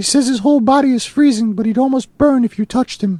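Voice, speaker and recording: In a put-on character voice, a woman speaks with a high pitch and ordinary pitch variation in a dry, close sound with no echo. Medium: read story. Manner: gentle, caring.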